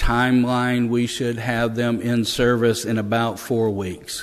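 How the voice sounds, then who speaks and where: A man speaks at a fairly slow pace with medium pitch and monotone, flat intonation. Audible room echo surrounds his voice. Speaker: police officer reporting to city council. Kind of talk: meeting report. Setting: city council meeting. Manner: halting, stammering.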